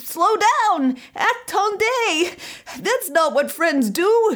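Wheezy and extremely high-pitched, a put-on character voice drags along at a very slow pace. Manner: wheezing.

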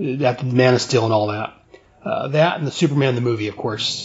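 With an unremarkable speaking voice, a man talks at medium pitch with ordinary pitch variation. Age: 40s. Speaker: podcast host. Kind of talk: casual chat.

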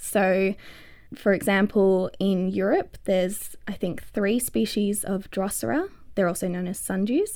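At a fairly slow pace, a woman with an Australian accent speaks in a dark, mellow tone at a medium pitch with ordinary pitch variation, in a very clean recording with a silent background. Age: 20s. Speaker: botanist, PhD researcher. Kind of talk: casual interview.

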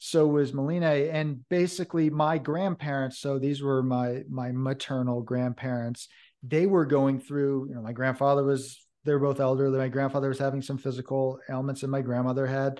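Speaking at a fairly quick pace, this man has a fairly high pitch, a dark, mellow tone and a monotone, flat intonation. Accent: American. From Hudson River Valley, New York. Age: 40s. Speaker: horror author. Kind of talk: casual interview.

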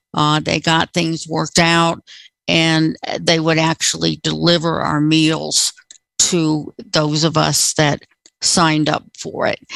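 A woman speaks very slowly in a very deep, low voice. Her intonation is monotone and flat, and her loudness stays very even. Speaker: apartment resident. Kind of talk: casual chat. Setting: video call.

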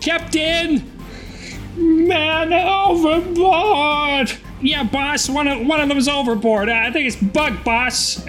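Someone puts on a character voice and talks at a very slow pace. Music plays clearly in the background. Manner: shouting, urgent.

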